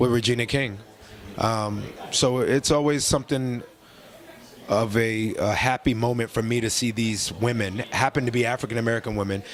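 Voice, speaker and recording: Over noticeable background noise, a man at medium pitch speaks at a moderate pace with fairly even intonation. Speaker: actor. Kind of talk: interview. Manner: halting.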